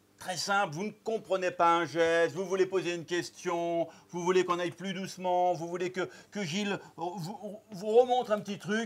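He speaks at a fairly slow pace. This man's voice is high in pitch. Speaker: cooking show host. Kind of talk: presenter commentary. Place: studio.

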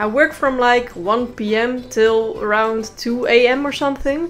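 A woman's fairly high voice with a Dutch accent, music in the background. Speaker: freelance animator narrating a comedic story video.

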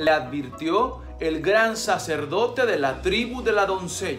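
Clear music plays in the background as a man speaks at a very slow pace. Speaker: storyteller. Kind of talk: storytelling narration. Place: home room. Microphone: phone near.

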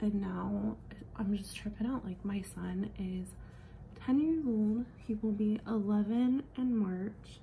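Noticeable background noise sits behind the speaker. A woman talks at a very slow pace. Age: 30s. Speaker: beauty vlogger. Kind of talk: makeup tutorial. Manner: casual.

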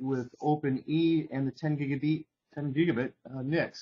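Fairly even intonation marks this man's somewhat breathy voice. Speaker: webinar host. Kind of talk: technical webinar presentation. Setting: video call.

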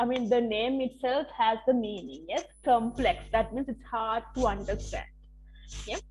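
A woman talks fairly slowly with vocal fry. Her fairly high voice shows ordinary pitch variation. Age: 20s. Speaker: English teacher. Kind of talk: online lecture.

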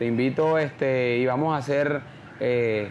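Here a man with a Colombian Caribbean accent talks at medium pitch and a fairly slow pace. His intonation stays fairly even over light background noise. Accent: Colombian Caribbean coastal Spanish. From Colombian Caribbean coast, San Onofre, Sucre. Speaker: champeta singer; interviewee. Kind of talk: interview. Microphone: lapel.

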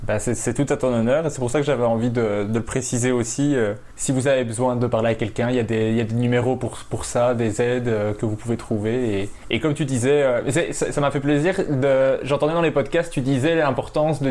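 Medium-pitched male speech in a plain, everyday voice, moderately paced and fairly even in intonation. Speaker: podcast host. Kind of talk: casual interview.

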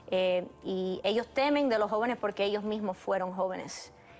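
Against light background noise, a woman speaks at a moderate pace with fairly even intonation. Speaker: TV guest. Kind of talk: interview answer. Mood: earnest, concerned. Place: studio.

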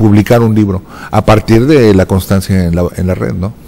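This man has a dark, mellow tone. He keeps a moderate pace with fairly even intonation.

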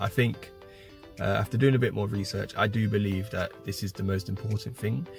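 A man's fairly low voice with an English accent and ordinary pitch variation, dry with no echo, over clear background music. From Britain. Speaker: French learner. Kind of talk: casual vlog talk to camera. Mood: relaxed, reflective. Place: car. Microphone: phone near.

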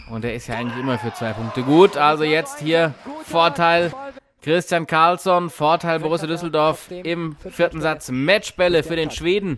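A man's fairly high voice with an upbeat tone, ordinary pitch variation and a moderate pace, over noticeable background noise. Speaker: sports commentator. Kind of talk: live sports commentary over highlight footage. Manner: fluent, upbeat, builds excitement around key points.

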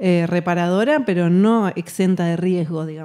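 With a Rioplatense accent, a woman speaks at a fairly slow pace in a dark, mellow tone against a quiet background. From Argentina, Buenos Aires. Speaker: musician; guest. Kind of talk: interview. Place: hall. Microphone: studio mic.

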